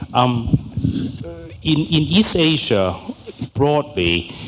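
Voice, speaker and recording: A man speaks at a very slow pace and medium pitch, with very wide pitch swings. Noticeable background noise runs under him. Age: 60s. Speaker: political science professor. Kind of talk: panel discussion.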